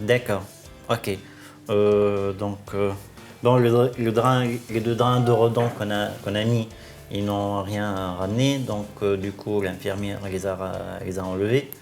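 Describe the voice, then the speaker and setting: A man's very slow, monotone, flat delivery at a fairly low pitch, with long, frequent pauses and music in the background. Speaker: surgeon. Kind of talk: doctor consultation.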